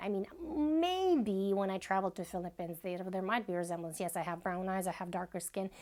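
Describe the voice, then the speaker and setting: A woman with a Russian accent. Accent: soft Russian. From Bashkortostan, Russia. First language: Bashkir. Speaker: vlogger. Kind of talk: personal vlog monologue.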